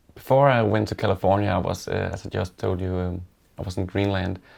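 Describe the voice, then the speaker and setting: A man with a Danish accent talks at a fairly quick pace in a very deep, low pitch. The recording is very clean, with a silent background. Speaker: woodworker. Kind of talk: interview. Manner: halting, many fillers.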